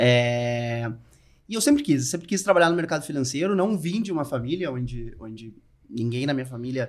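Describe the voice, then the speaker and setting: Using an unremarkable speaking voice, a man speaks at medium pitch and a moderate pace with lively intonation. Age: 40s. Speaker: financial advisor. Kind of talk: interview.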